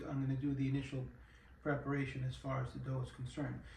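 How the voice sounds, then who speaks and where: A man with a New York accent talks at a fairly quick pace. Noticeable background noise and audible room echo come through. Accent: New York City. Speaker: home cooking YouTuber. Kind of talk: cooking tutorial. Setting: home kitchen. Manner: casual, hesitant with many fillers.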